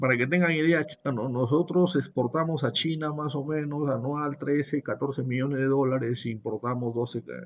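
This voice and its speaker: An unremarkable speaking voice from a man, at medium pitch with ordinary pitch variation. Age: 60s. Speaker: business professor. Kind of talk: webinar lecture. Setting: online webinar.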